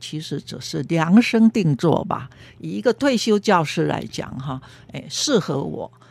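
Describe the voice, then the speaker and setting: In a very clean recording with a silent background, a woman with a dark, mellow tone and a fairly low pitch speaks at a fairly slow pace with lively intonation. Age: 70s. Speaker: retired counseling supervisor. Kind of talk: interview.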